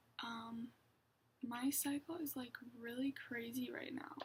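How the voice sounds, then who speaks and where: Music plays in the background as a woman speaks quietly with a high pitch. She goes at a very slow pace, with ordinary pitch variation. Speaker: vlogger. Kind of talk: casual vlog monologue.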